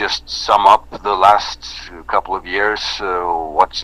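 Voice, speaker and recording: Against noticeable background noise, a man with a very deep, low pitch speaks at a very slow pace with fairly even intonation. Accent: Norwegian. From Norway. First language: Norwegian. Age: 30s. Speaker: metal band singer. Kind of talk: interview. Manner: halting.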